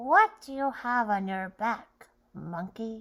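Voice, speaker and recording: Using a put-on character voice, a woman talks at a fairly slow pace with a fairly high pitch. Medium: read story.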